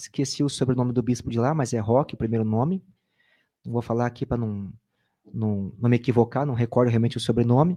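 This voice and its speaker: Against a quiet background, a man with a dark, mellow tone speaks at a fairly quick pace and medium pitch with fairly even intonation. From Brazil, Sorocaba, São Paulo state. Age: 30s. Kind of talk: interview, sharing personal testimony. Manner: casual, conversational.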